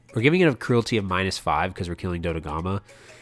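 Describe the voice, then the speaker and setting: A man is speaking. Music plays in the background. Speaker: gaming YouTuber. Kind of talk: gameplay commentary. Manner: casual with many fillers.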